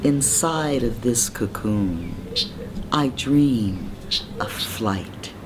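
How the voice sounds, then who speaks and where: With lively intonation, a woman speaks at a very slow pace in a very deep, low pitch, leaving long, frequent pauses amid noticeable background noise. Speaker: poet. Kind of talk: spoken word poetry reading. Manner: slow, controlled, sensual.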